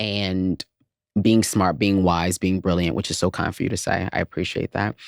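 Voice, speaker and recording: This man has a very deep, low pitch and an American accent, talking at a moderate pace with fairly even intonation. The sound is dry and close with no echo, and the recording is very clean over a silent background. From US South, Atlanta. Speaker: content creator. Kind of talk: casual interview.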